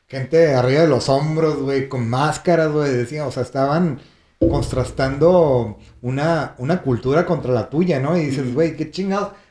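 This man speaks at a moderate pace in a fairly high voice with ordinary pitch variation. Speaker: traveler recounting a World Cup trip. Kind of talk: casual storytelling chat. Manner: animated, laughing.

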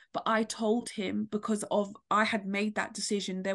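Against a quiet background, a woman with a British accent talks at a moderate pace and medium pitch with fairly even intonation. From London. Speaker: author and poet, domestic abuse survivor. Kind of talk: personal testimony in interview.

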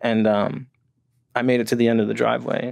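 Speaking very fast with an American accent, a man is heard on a very clean recording with a silent background. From New Jersey, near New York City. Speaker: addiction treatment professional in long-term recovery. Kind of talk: casual interview, personal recovery story.

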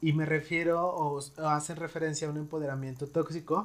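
A man with a Mexican accent and a fairly high pitch speaks at a moderate pace on a very clean recording with a silent background. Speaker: psychologist and podcast host. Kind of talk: casual interview chat.

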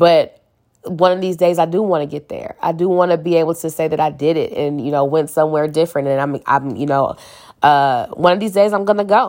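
On a very clean recording with a silent background, a woman with an American accent speaks in a normal speaking voice at a fairly low pitch and a fairly quick pace. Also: ordinary pitch variation. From St. Louis, Missouri, US. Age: 30s. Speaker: podcast host. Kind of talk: casual solo monologue.

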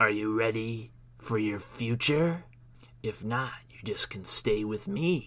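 Putting on a character voice, a man speaks at a fairly slow pace and medium pitch, with ordinary pitch variation and big swings in loudness. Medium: read story. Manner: menacing, gloating.

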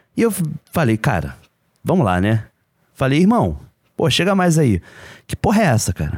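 At a moderate pace and medium pitch, a man's voice shows vocal fry and very wide pitch swings, broken by long, frequent pauses. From Brazil, Rio de Janeiro. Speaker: podcast co-host. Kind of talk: casual chat.

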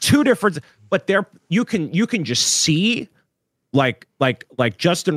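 In a normal speaking voice, a man talks at a moderate pace with lively intonation. The recording is very clean with a silent background and a dry, close sound with no echo. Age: 20s. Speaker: LEGO show co-host. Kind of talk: casual live-stream chat.

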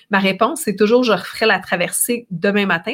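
Captured in a very clean recording with a silent background, a woman speaks at a moderate pace. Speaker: ocean rower and adventurer, speaker. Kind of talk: interview conversation.

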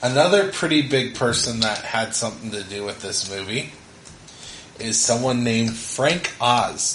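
Background noise is noticeable here. Against it, a man's pitch swings very widely. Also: medium pitch for a man, moderate pace. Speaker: podcast host, father. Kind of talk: casual family movie review chat.

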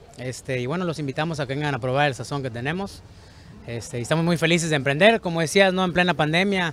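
Very fast and at a fairly high pitch, a man talks with ordinary pitch variation. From Sinaloa, Mazatlán, Mexico. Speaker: restaurant owner. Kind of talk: interview.

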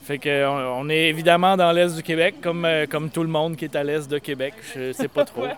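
A man at a fairly high pitch and moderate pace, with ordinary pitch variation and noticeable background noise. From Eastern Quebec. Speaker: slam poet. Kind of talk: slam poetry performance.

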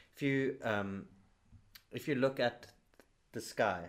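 A man's voice with ordinary pitch variation. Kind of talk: casual chat.

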